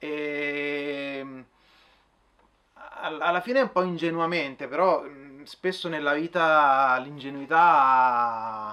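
Bright and sharp in tone, this man's voice sits at a medium pitch with ordinary pitch variation. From Frosinone, central Italy; Italy. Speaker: orchestral trumpet player. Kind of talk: testimony interview. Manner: halting, repeats words. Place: shop.

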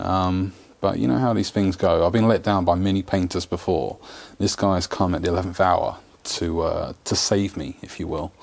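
An ordinary speaking voice at a fairly slow pace. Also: man. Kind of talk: casual vlog chat. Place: garage. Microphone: lapel.

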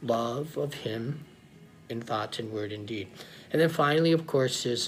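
Faint background music, a fairly slow pace and ordinary pitch variation. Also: man. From United States (Oklahoma). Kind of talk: Sunday homily / sermon. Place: home room. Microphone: phone near.

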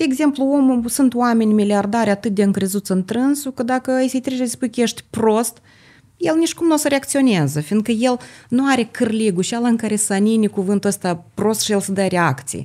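Against a quiet background, a woman with a Moldovan accent talks at a fairly quick pace in a fairly high, somewhat breathy voice with a dark, mellow tone and lively intonation. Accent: Moldovan Romanian. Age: 50s. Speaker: holistic therapist and entrepreneur; podcast guest. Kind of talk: podcast interview. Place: studio. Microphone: studio mic.

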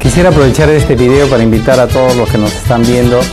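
Clear music sounds in the background. A man talks over it. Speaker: consular official. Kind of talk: promotional event invitation spot. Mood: friendly, official. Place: office.

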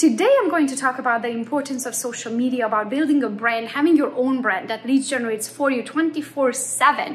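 Speaking with a Romanian accent, a woman talks at a fairly quick pace in a high pitch. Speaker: real estate agent; presenter. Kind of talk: conference talk. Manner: fast. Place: home room. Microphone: phone near.

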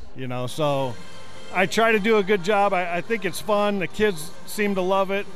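A man speaks at a moderate pace with a high pitch and ordinary pitch variation. The sound is dry with no echo, and faint music plays in the background. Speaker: public address announcer. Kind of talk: interview answer. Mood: friendly, upbeat. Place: hall. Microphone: handheld.

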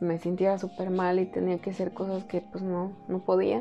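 Light background noise runs under a woman's speech. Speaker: vlogger. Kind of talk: casual vlog chat. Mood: earnest, reflective, emotional. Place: home room.

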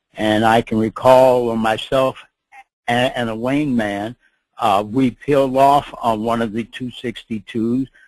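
With an American accent, the speaker talks at a very slow pace in a monotone, flat intonation, and the sound is dry and close with no echo. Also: man, medium pitch for a man. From Minneapolis, Minnesota. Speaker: WWII fighter pilot veteran. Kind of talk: interview reminiscence. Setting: online webinar audio connection.

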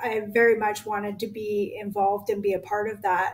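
Here a woman is talking. Her pace is moderate. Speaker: guest. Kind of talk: interview answer. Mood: earnest, a little emotional. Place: home room.

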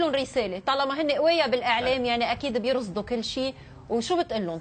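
A woman with a high voice speaks at a moderate pace with lively intonation, amid noticeable background noise. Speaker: TV morning show host. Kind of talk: TV talk show interview. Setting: studio.

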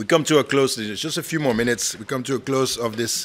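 The speaker uses a put-on character voice that sounds hoarse. The pace is very fast. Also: man, medium pitch for a man. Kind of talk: formal closing remarks.

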